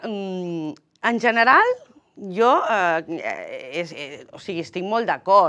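A woman's medium-pitched voice with a bright, sharp tone and lively intonation over a quiet background. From Catalonia. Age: 40s. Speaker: politician. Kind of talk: political interview. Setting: TV studio. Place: studio. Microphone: lapel.

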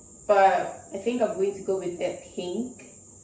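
Recorded with light background noise and audible room echo, a woman's voice comes through. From Ghana. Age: 20s. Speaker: YouTuber. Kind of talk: casual talk to camera. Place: home room.

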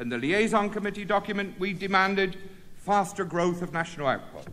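A man speaks in a high-pitched voice at a moderate pace. His voice is raised and projected. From Britain. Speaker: trade union leader. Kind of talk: union congress speech. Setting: conference hall with audience. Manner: formal; earnest, rhetorical. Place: hall. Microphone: podium.

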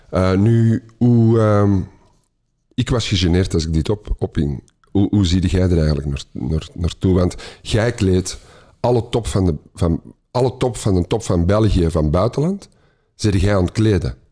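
A man's very deep, low voice with a dark, mellow tone, at a fairly slow pace and very even loudness, on a very clean recording with a silent background. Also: ordinary pitch variation. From Belgium, Antwerp. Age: 50s. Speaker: podcast host. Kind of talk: casual interview.

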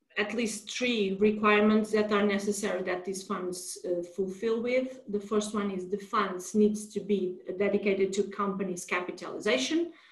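A woman speaks in a Portuguese accent against a quiet background, with audible room echo. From Portugal. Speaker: lawyer. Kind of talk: webinar presentation. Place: home room. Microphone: video call.

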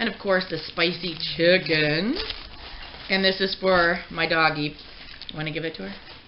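Over light background noise, a woman with an unremarkable speaking voice and a fairly low pitch talks at a moderate pace. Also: ordinary pitch variation. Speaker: mukbang vlogger. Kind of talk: casual vlog chat. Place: kitchen.

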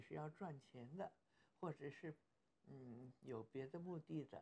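A woman speaks at a fairly slow pace. Her tone is dark and mellow, and somewhat breathy. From Beijing, China. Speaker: actress. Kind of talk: interview answer. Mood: warm, smiling, reflective.

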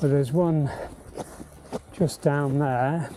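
Someone talks at a very slow pace in a dry sound with no echo, with faint music in the background. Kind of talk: casual vlog commentary. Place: open country.

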